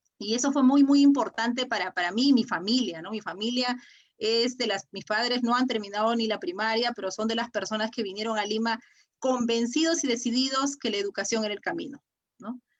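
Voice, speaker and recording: Talking at a fairly quick pace, a woman with an Andean accent uses a fairly high pitch and ordinary pitch variation. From Peru, Áncash (San Marcos, Huari). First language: Quechua (speaking Spanish). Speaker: politician. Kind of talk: interview. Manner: halting, many repetitions.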